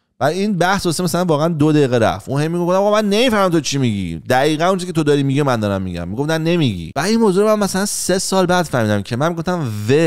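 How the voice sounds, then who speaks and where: His pitch swings very widely. The man speaks at a very fast pace. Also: quiet background. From Iran. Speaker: YouTuber and life coach; YouTuber, life coach. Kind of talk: casual monologue. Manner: casual, conversational. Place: home room. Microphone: studio mic.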